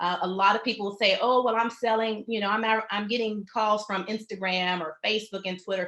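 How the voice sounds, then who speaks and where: The voice is bright and sharp, with flat, monotone intonation. It runs at a fairly quick pace with hardly any pauses. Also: woman, fairly high pitch for a woman. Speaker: web designer and workshop presenter. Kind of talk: webinar presentation. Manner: fast.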